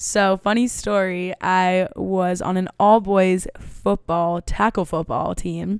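Very slowly and with hardly any pauses, a woman talks at a medium pitch in a monotone, flat intonation, the sound dry and close with no echo on a very clean recording with a silent background. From New York City. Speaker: guest, actress and model. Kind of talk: casual chat.

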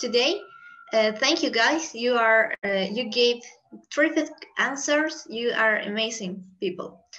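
A high-pitched woman with a bright, sharp tone speaks at a fairly slow pace with lively intonation. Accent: Spanish. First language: Spanish. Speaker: podcast host. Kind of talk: interview hosting.

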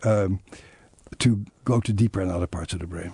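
In a Dutch accent, a man speaks at a moderate pace with a very deep, low pitch and ordinary pitch variation. His voice is somewhat breathy. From Netherlands. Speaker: psychiatrist and trauma author. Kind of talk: interview.

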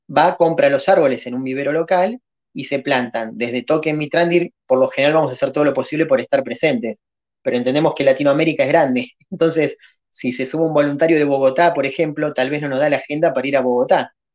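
A man talks very fast in a fairly high voice, his pitch rising and falling in the ordinary way. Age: 40s. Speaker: crypto project founder. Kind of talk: podcast interview.

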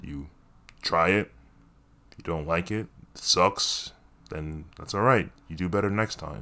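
The voice has a bright, sharp tone, with big swings in loudness and long, frequent pauses. The recording is very clean, with a silent background. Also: man, very deep, low pitch for a man, ordinary pitch variation, fairly slow pace. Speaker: podcaster and actor. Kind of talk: casual solo monologue. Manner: self-deprecating, laughs often.

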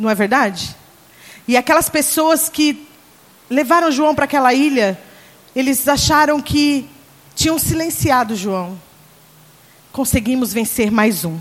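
Speaking at a fairly slow pace, a woman with a high pitch uses lively intonation and leaves long, frequent pauses. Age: 40s. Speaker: pastor. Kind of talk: sermon. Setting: church conference with congregation.

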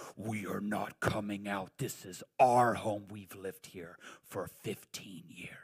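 A put-on character voice, low in pitch, at a fairly slow pace.

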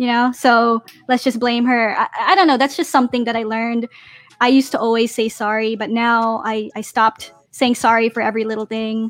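A woman's fairly high, fairly quick delivery with fairly even intonation, an unremarkable speaking voice, and a dry, close sound with no echo. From Philippines and US (born in Japan, Navy family). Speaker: activewear business owner. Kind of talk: casual interview on live stream. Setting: video call.

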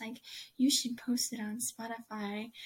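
A somewhat breathy quality marks this voice. It belongs to a woman. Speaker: podcast host interviewer. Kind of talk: casual interview.

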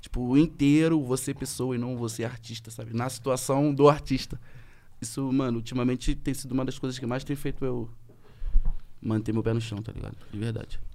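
A man talks fairly quickly with a dark, mellow tone at a medium pitch. His intonation is monotone and flat. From Rio de Janeiro state, Brazil. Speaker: rapper. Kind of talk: casual chat.

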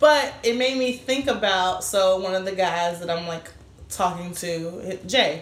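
Lively intonation carries through a fairly slow delivery. The room echo is audible, along with noticeable background noise. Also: woman, medium pitch for a woman. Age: 20s. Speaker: podcast co-host and author. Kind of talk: casual chat.

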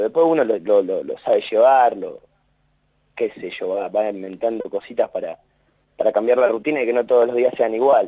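A man's voice at a moderate pace, dry and close with no echo. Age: 20s. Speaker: university maintenance worker. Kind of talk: interview. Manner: halting, repeats words.

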